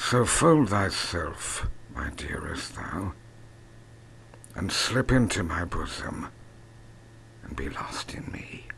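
A man's weary whispering at a very slow pace, with long, frequent pauses and noticeable background noise. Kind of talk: poetry reading. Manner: languid, world-weary.

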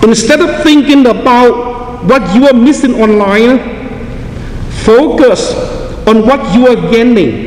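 Someone talks at a slow pace with ordinary pitch variation over clear background noise. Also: man, extremely high pitch for a man.

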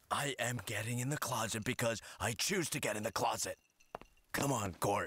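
A put-on character voice comes across as raspy. It moves at a moderate pace with ordinary pitch variation. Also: man, medium pitch for a man. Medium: cartoon.

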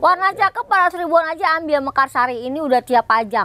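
Noticeable background noise runs behind a woman as she speaks. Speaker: plant vlogger shopping for plants. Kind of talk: casual chat while browsing a nursery, haggling over prices. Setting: outdoors at a plant nursery. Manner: animated; fast talker.

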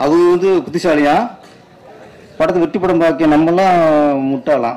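Here a man is talking. His pitch is fairly high. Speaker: film director. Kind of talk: speech at a movie audio launch event. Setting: public event stage. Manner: animated, emphatic. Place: stage. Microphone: podium.

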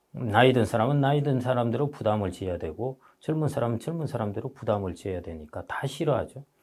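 A man talks at a very fast pace with lively intonation and hardly any pauses. His voice is somewhat breathy. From South Korea. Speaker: economist and book author; guest. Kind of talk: interview. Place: studio. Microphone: lapel.

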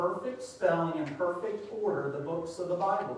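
Strong room echo and light background noise accompany a man speaking at a high pitch. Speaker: preacher. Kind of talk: sermon. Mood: light, humorous. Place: church.

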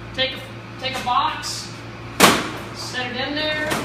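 A woman at a moderate pace amid loud background noise and audible room echo. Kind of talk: tour explanation. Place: workshop. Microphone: camera far.

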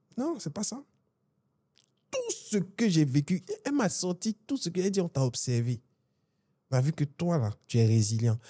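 A man speaks with a dark, mellow tone and a somewhat breathy quality. The background is quiet. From Côte d'Ivoire. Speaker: business executive, event organization president; podcast guest. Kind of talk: interview conversation. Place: studio. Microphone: studio mic.

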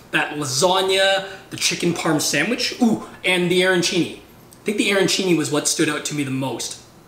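A man speaks at a moderate pace with a high pitch and ordinary pitch variation. Light background noise and audible room echo are present. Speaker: food vlogger. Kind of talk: casual vlog chat.

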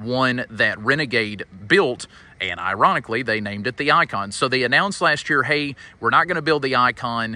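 The speaker is a man talking at a fairly quick pace. The sound is dry, with no echo. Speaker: RV dealer salesman. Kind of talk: casual product walkaround commentary. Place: street.

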